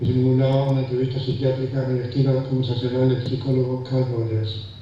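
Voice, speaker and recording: Over noticeable background noise and audible room echo, a man talks fairly quickly at a medium pitch in a flat monotone. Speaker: philosophy professor. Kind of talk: conference talk reading prepared text. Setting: conference hall with audience. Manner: fast; halting, repeats words.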